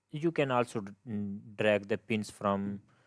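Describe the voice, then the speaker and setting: Speaking at a moderate pace with a non-native accent, the voice comes through in a dry, close sound with no echo on a very clean recording with a silent background. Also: man. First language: not English. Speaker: game development tutor. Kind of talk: tutorial. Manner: halting, many fillers and restarts.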